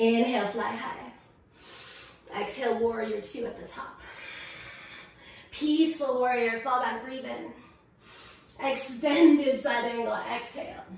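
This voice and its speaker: The speech comes at a fairly slow pace with long, frequent pauses and big swings in loudness, with audible room echo and noticeable background noise. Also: woman, high pitch for a woman, ordinary pitch variation. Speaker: yoga teacher. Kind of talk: guided yoga class instruction. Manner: slow, calm paced cues.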